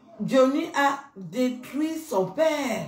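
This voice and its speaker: A woman talks with audible room echo around her voice. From Cameroon. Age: 50s. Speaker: YouTuber; social media commentator. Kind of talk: rant; heated rant to camera. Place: bathroom. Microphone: phone near.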